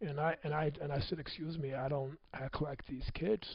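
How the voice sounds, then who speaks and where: A man speaks with a fairly high pitch, ordinary pitch variation, and a somewhat breathy quality. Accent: American. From US Midwest (Michigan City, Indiana). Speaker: motivational speaker. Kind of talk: personal testimony talk.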